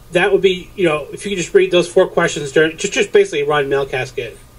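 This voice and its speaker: A man with a New Hampshire accent speaks at a fairly quick pace. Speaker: podcast host planning an episode. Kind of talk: casual pre-show planning chat.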